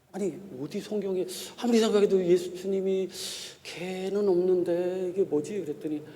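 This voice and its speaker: A man talks at a high pitch with a slight Chungcheong accent. Audible room echo and noticeable background noise surround him. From Korea, Chungcheong (Gongju). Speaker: pastor and theology professor. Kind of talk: sermon. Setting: church.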